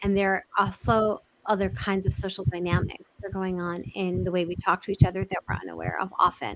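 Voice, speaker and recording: A woman with a New York accent at medium pitch, fairly quick and fairly even, with hardly any pauses. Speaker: communication expert. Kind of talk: interview. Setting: live video chat. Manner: direct, fast-talking.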